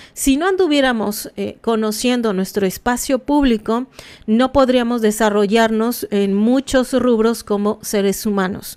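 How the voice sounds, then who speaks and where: Her pitch is fairly high, with ordinary variation. The woman speaks at a fairly slow pace. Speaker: anthropology commentator. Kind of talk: live stream commentary. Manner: halting, many fillers; casual.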